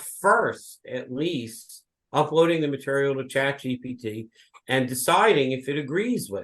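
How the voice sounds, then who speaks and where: Lively intonation runs through a man's plain, everyday voice, pitched fairly high. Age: 60s. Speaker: law professor. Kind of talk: lecture; interview answer. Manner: conversational with filler words.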